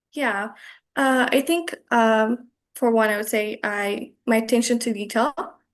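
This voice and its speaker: A woman with an Ethiopian accent speaks at a fairly slow pace against a quiet background. Her pitch is fairly high, and her intonation stays fairly even. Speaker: virtual assistant, lead generation. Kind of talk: interview answer.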